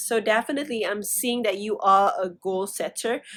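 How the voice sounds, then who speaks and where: In a very clean recording with a silent background, a speaker with a non-native accent talks at a fairly slow pace with ordinary pitch variation. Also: woman. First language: not English. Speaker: tarot reader. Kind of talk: tarot reading. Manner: halting, many fillers.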